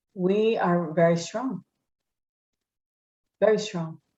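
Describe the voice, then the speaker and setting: Speaking at a very slow pace, a woman with a Spanish accent uses a fairly low pitch. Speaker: politician. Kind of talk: interview.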